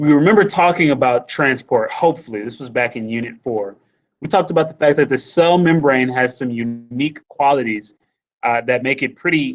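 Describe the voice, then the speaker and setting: A man with an ordinary speaking voice talks at a moderate pace in a fairly high pitch with ordinary pitch variation. The background is quiet. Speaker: high school biology teacher. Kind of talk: lecture. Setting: live online class session.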